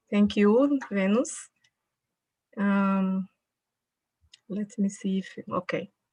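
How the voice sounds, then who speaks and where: A woman with a Brazilian accent speaks at a very slow pace with long, frequent pauses, a medium pitch, fairly even intonation and a dark, mellow, somewhat breathy tone, in a dry, close sound with no echo. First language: Portuguese (speaking Spanish). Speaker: public health researcher. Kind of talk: conference lecture. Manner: halting.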